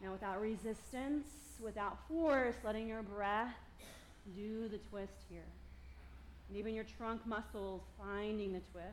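In a calm tone, a woman speaks at a medium pitch and fairly slow pace, with ordinary pitch variation and long, frequent pauses. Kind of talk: yoga class instruction. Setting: live yoga studio class. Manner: calm, encouraging, clear cueing with brisk directions and light laughter.

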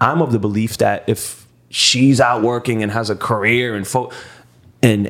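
On a very clean recording with a silent background, a man at medium pitch uses a plain, everyday voice with fairly even intonation. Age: 30s. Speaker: podcast host. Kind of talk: casual chat.

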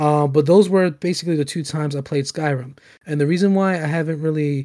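A man's voice has a dark, mellow tone and a fairly high pitch, with fairly even intonation. The recording is very clean, with a silent background. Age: 20s. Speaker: gaming podcast host. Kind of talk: casual chat. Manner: halting.

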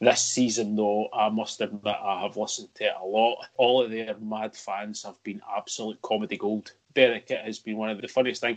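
With a Scottish accent, a man speaks at a fairly quick pace in a fairly low pitch and a monotone, flat intonation. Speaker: football podcast co-host. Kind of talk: casual chat.

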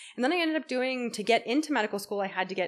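This very clean recording with a silent background has a woman speaking at a very fast pace. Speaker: doctor guest.

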